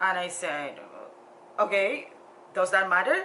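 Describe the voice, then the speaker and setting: A woman speaks at a fairly slow pace with an African accent over noticeable background noise. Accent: deep African. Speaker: social worker and motivational vlogger. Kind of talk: personal storytelling vlog. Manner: halting, with frequent fillers and repetitions.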